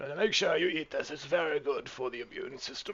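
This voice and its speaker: A man's put-on character voice, pompous and theatrical, high in pitch and fairly quick. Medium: actual play. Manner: pompous, theatrical.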